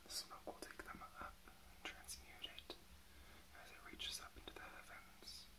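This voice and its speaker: At a fairly slow pace, the speaker whispers. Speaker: ASMR creator and reiki practitioner; drag queen performer. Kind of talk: ASMR reiki healing session. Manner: soft-spoken, whispering. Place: home room.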